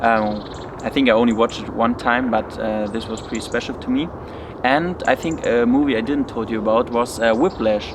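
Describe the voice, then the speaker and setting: A speaker with a non-native accent talks at a moderate pace with ordinary pitch variation. Noticeable background noise runs under the voice. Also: man, medium pitch for a man. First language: German. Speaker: study vlogger. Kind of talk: casual Q&A vlog. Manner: hesitant, many fillers.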